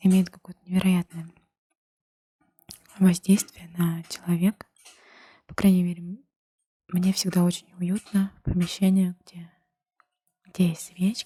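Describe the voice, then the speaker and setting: A woman whispers quietly in a somewhat breathy voice at a fairly slow pace. Her loudness swings widely, with long, frequent pauses. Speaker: ASMR creator. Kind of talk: ASMR chat to camera. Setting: indoors with fireplace sounds. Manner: whispered, quiet; calm, slow.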